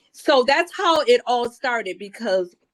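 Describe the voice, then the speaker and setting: Recorded with a dry, close sound and no echo, the speech moves at a fairly slow pace. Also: woman. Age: 60s. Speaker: petitioner in a protective order hearing. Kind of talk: court testimony. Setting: video call. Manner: animated.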